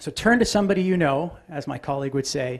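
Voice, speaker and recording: A somewhat breathy male voice at a moderate pace, with ordinary pitch variation against a quiet background. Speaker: aviation safety presenter. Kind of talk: conference presentation.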